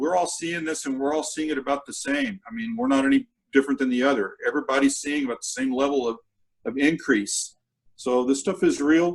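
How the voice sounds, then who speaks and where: An American accent marks this man's fairly high-pitched voice, which moves at a fairly quick pace with ordinary pitch variation. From US South, Texas Rio Grande Valley (McAllen). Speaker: gastroenterologist, doctor. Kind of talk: interview on health information. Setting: video call, alone in a room. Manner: animated.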